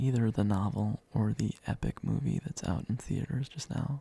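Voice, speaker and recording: A soft-spoken man in a calm, relaxed tone at a moderate pace, with a dry, close sound and no echo. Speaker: ASMR creator. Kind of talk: soft-spoken ASMR tour narration.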